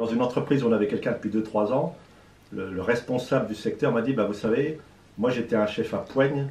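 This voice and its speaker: Fairly even intonation runs through a man's medium-pitched voice. He speaks at a fairly quick pace. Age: 60s. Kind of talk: interview. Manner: hesitant with fillers.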